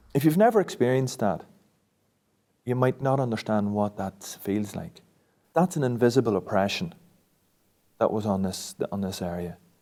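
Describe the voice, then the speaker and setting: A man's dark, mellow voice at medium pitch, fairly quick, with very wide pitch swings and a Northern Irish accent, on a very clean recording with a silent background. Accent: South Armagh Irish. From South Armagh, Northern Ireland. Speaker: local resident. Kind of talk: interview testimony.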